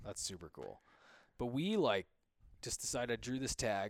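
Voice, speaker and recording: Speaking with an American accent, a man talks at a fairly quick pace and medium pitch. The sound is dry and close, with no echo. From Western Montana, Bitterroot Valley. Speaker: bow hunter and hunting guide. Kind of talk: casual chat.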